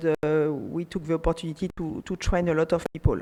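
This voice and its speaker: At a moderate pace, a woman speaks with a French accent. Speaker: panelist, regulatory affairs expert. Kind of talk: conference panel talk. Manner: hesitant, many fillers.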